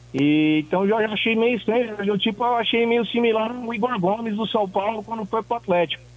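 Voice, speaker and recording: Noticeable background noise is present. A man talks at a moderate pace with ordinary pitch variation. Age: 40s. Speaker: caller, football fan. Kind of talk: call-in.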